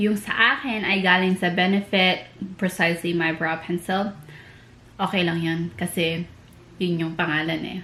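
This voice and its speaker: Amid noticeable background noise, a woman with a fairly low pitch speaks at a moderate pace with fairly even intonation. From Philippines. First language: Tagalog. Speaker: beauty vlogger. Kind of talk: tutorial. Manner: casual, code-switching Tagalog and English.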